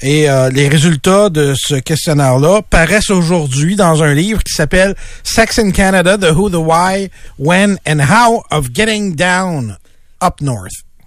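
Speaking very slowly in a Quebec accent, a man uses a high pitch with ordinary pitch variation. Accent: Québécois French. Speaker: radio co-host, news columnist. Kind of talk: casual radio chat.

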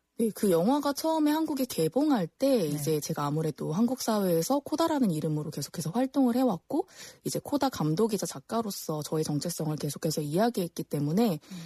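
A woman with a dark, mellow, somewhat breathy tone speaks at a fairly quick pace with very wide pitch swings, the sound dry and close with no echo. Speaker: documentary film director. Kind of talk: interview. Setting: studio.

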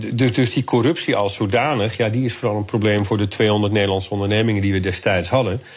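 A man with a fairly low pitch talks at a very fast pace with hardly any pauses. His intonation is fairly even and his loudness very even. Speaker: security policy analyst. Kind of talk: radio interview.

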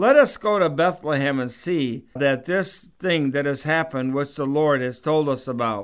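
A man with a fairly high pitch and ordinary pitch variation has a normal speaking voice. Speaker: pastor. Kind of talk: radio sermon; christmas scripture reading, solemn and measured. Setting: radio studio broadcast. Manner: slow, reverent, steady reading cadence; warm, sincere, conversational.

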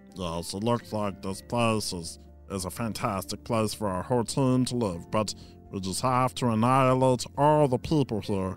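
A man speaks at a moderate pace in a fairly low, put-on character voice, with clear music in the background. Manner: scheming, then cheerful and agreeable.

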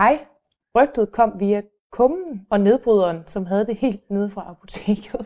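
Her voice has a dark, mellow tone at a medium pitch. The woman speaks at a fairly slow pace with ordinary pitch variation. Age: young. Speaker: local resident, host's daughter. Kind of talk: casual interview.

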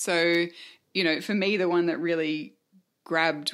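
On a very clean recording with a silent background, a woman with an Australian accent speaks at a very deep, low pitch. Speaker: podcast host. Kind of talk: casual chat.

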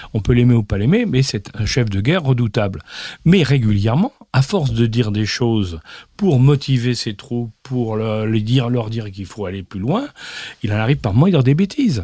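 A man's medium-pitched, dark, mellow and somewhat breathy voice at a moderate pace with lively intonation. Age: old. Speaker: former intelligence chief and geopolitics expert. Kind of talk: interview.

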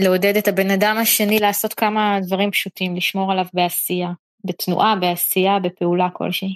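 With monotone, flat intonation, a woman talks at a moderate pace and a medium pitch. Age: 30s. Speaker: podcast host and interviewer. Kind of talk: interview. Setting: online audio room.

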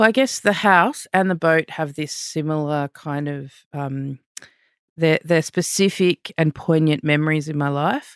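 A woman with an Australian accent speaks at a fairly slow pace with a very deep, low pitch and ordinary pitch variation. The recording is very clean, with a silent background and a dry, close sound with no echo. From Australia, with Fijian heritage. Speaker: visual artist. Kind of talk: interview. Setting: studio.

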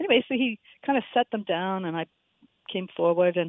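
Her voice sits fairly low for a woman, moving at a moderate pace with ordinary pitch variation. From Halifax, Canada. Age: 60s. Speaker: caller. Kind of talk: casual chat. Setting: phone call.

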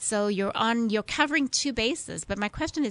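Lively intonation in a South African accent, dry, close sound with no echo, quiet background. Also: woman. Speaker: neurologist, headache specialist. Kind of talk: radio interview. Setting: studio.

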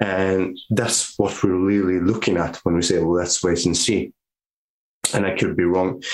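With a Norwegian accent, a man speaks at a fairly slow pace in a very deep, low pitch, with monotone, flat intonation and very even loudness. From northern Norway. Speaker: physiotherapist. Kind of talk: casual interview.

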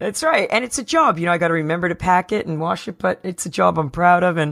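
In an American accent, a woman talks with an ordinary speaking voice at a fairly low pitch and a fairly quick pace. Her pitch variation is ordinary, on a very clean recording with a silent background. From New Jersey. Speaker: podcast host. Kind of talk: interview.

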